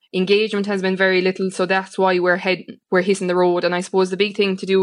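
A woman with an Irish accent, medium pitch and monotone, flat intonation, at a very fast pace. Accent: rural Irish (Limerick). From Ireland, County Limerick. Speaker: farming organisation leader. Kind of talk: radio interview.

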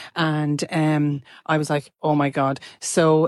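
A woman with an Irish accent and a very deep, low pitch, dry and close with no echo, against a quiet background. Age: 50s. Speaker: listener sending a voice note. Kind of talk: voice note story.

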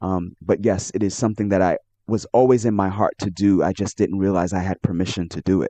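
In a New York accent, a man with a dark, mellow tone and fairly low pitch speaks at a fairly quick pace with fairly even intonation, the sound dry and close with no echo and the background quiet. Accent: New York American. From New York City, Brooklyn. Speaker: author. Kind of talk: interview.

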